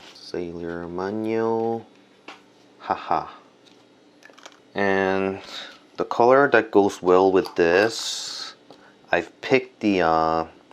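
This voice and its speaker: A man with a Korean accent speaks very slowly at a fairly low pitch, leaving long, frequent pauses. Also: ordinary pitch variation. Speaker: art and stationery video creator. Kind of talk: casual product review and unboxing. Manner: hesitant with many fillers.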